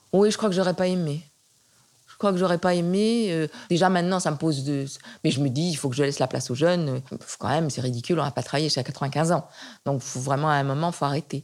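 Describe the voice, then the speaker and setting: A woman's very deep, low voice at a very fast pace, with ordinary pitch variation, long, frequent pauses and a very clean recording against a silent background. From western France (Nantes). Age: 70s. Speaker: retired art historian. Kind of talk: interview. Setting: at home. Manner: halting with frequent repetitions.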